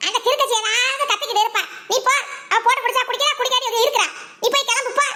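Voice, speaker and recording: A squeaky, cartoonish character voice races along at a very fast pace, with fairly even intonation, very even loudness and clear background noise. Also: woman, extremely high pitch for a woman. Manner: scolding, fast.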